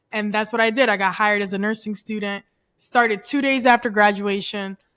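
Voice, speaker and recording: On a very clean recording with a silent background, a woman with a fairly high voice speaks in an animated tone at a fairly quick pace. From immigrated to Canada at nine, from abroad. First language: not English. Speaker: nurse career coach. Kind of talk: podcast interview.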